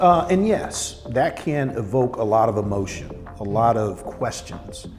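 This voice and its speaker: The speaker is a man with an American accent. Behind him, music is playing. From southern Missouri, USA. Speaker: heart surgeon. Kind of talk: interview answer.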